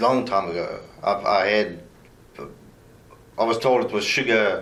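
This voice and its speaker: Heard with audible room echo, a man speaks fairly slowly at medium pitch. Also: ordinary pitch variation. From South Africa. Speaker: murder suspect. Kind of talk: police interrogation.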